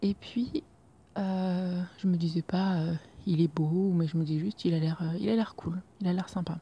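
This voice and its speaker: A woman speaks at a fairly slow pace with a fairly low, somewhat breathy voice. Her intonation stays fairly even. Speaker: personal podcaster. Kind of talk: personal diary-style monologue. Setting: at home, leaning out a roof window at night. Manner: hesitant, many fillers.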